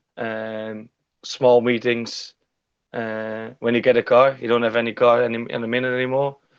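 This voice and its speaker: A man with a Dutch accent talks at a moderate pace in a medium pitch. His intonation is monotone and flat. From Netherlands. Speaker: stock car driver. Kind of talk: interview.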